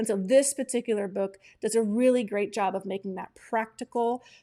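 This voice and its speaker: In a very clean recording with a silent background, a woman speaks in an animated tone at a high pitch. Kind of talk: live broadcast book recommendations. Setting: live stream.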